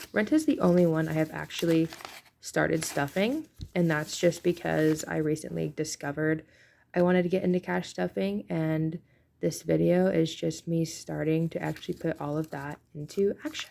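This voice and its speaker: A quiet woman talks at a moderate pace on a very clean recording with a silent background. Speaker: budgeting vlogger. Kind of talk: casual vlog talk.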